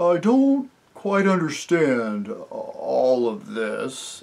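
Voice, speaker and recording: Put on as a character voice, the delivery sits at a middle pitch and moves at a very slow pace. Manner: puzzled.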